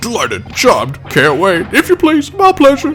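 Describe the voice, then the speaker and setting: A man talks at a moderate pace in a put-on character voice. Clear background noise runs behind him. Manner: insincere, falsely polite.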